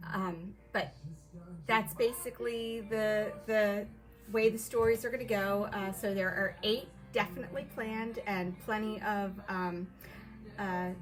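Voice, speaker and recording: Over music in the background, a soft-spoken woman with a medium pitch speaks at a fairly slow pace with fairly even intonation. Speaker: author. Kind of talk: casual chat. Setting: live video stream.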